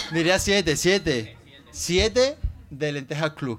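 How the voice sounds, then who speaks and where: The intonation is lively as this man talks. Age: 20s. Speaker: podcast host. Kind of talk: casual chat. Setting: studio with live audience.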